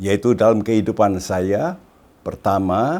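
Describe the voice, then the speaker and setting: A man talks at a very slow pace in a dark, mellow tone. The recording is very clean and the background silent. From Indonesia, Surabaya (East Java). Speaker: pastor. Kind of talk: testimony.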